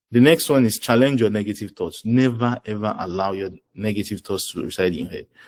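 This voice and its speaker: A man with a Nigerian accent, fairly low pitch, ordinary pitch variation and a fairly quick pace. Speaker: finance professional and presenter. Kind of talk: webinar talk. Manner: animated.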